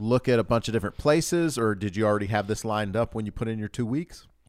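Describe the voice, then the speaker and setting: Recorded very cleanly against a silent background, a plain, everyday voice with an American accent carries ordinary pitch variation. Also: man. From US South (Louisiana, Georgia). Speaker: podcast host. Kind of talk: scripted intro; casual interview. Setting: studio.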